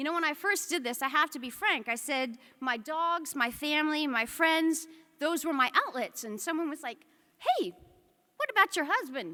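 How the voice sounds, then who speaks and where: A woman with an American accent uses a raised, projected voice at a high pitch with a bright, sharp tone. Her intonation is lively and her pace moderate. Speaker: military officer. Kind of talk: speech. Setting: stage with audience.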